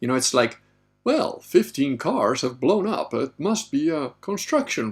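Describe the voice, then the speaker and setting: Moving at a moderate pace, a man's voice shows vocal fry and very wide pitch swings. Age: 50s. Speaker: livestream host and author. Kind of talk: live Q&A stream reading chat questions. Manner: casual, conversational.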